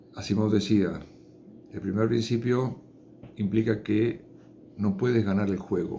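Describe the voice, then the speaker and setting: With a dark, mellow tone and fairly low pitch, a man speaks at a fairly slow pace with fairly even intonation and long, frequent pauses, in audible room echo. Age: 60s. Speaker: chemist giving science talks. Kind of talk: informal lecture. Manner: unscripted, with hesitations.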